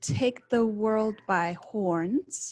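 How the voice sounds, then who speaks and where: In a very clean recording with a silent background, a woman with a Czech accent talks at a medium pitch with ordinary pitch variation, the sound dry and close with no echo. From Czech Republic. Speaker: study abroad adviser. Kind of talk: presentation. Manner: halting.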